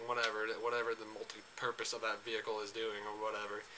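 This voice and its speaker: This is a man speaking. His pace is fairly quick. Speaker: gaming vlogger. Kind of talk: casual vlog monologue. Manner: fast; hesitant, many fillers.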